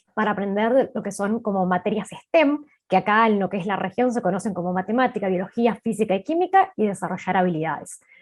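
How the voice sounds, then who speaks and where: A woman talks at a fairly quick pace with hardly any pauses, in a plain, everyday voice. Her pitch sits in the medium range and varies in an ordinary way. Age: 20s. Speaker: startup co-founder and marketing chief. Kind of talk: panel interview.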